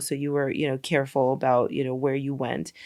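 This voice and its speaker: Fairly quick speech on a very clean recording with a silent background. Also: woman. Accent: New York. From New York, Brooklyn. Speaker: documentary filmmaker. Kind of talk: podcast interview.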